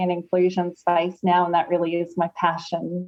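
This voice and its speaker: At a moderate pace, a woman talks in a medium pitch with an Australian accent. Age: 40s. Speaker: lawyer and author. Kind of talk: interview.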